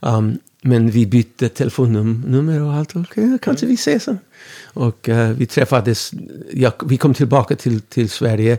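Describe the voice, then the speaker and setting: A dark, mellow tone with ordinary pitch variation, delivered at a moderate pace. The sound is dry and close with no echo, on a very clean recording with a silent background. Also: man, medium pitch for a man. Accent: English. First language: English (speaking Swedish). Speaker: musician. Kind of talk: interview. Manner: halting.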